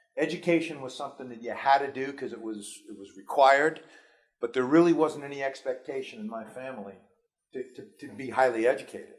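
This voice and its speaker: The speaker talks very fast with an American accent and ordinary pitch variation. Loudness swings a lot from moment to moment. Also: man, fairly high pitch for a man. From New York City. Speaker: school superintendent. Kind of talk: speech to students. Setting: school audience.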